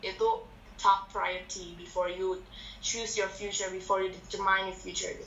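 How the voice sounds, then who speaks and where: A woman talks at a fairly quick pace with big swings in loudness, noticeable background noise and audible room echo. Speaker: medical student. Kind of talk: casual chat.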